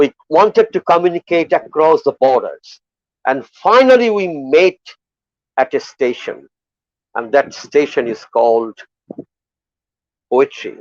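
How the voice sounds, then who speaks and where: A man's high voice in a Bengali accent, fairly slow with long, frequent pauses, very wide pitch swings and a dry, close sound with no echo. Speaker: poet. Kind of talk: festival valedictory speech. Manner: halting, with repetitions and fillers.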